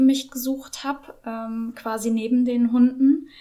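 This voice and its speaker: Speaking at a fairly slow pace, a woman holds a high pitch with monotone, flat intonation and a dark, mellow tone. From northern Germany, Norderstedt near Hamburg. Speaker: knitter and yarn dyer with online shop. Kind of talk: casual interview. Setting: in person at the guest's home. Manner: hesitant, many filler sounds.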